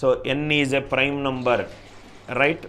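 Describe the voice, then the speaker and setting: The speech comes at a very slow pace in a bright, sharp tone. Room echo is audible. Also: man. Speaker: maths teacher. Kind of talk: lecture.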